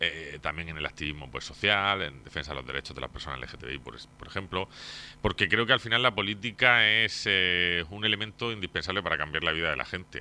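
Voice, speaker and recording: A man speaks at a fairly quick pace with a very deep, low pitch. His intonation is lively, and his loudness swings widely. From Torre Pacheco, Murcia, Spain. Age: 30s. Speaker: mayoral candidate, politician. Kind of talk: radio interview.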